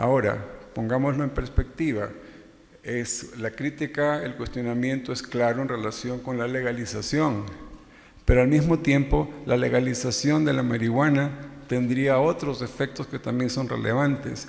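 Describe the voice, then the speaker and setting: A man talks at a moderate pace with fairly even intonation and a medium pitch. Audible room echo surrounds his voice. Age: 60s. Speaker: psychiatrist, addiction specialist. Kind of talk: conference lecture. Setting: scientific event with audience.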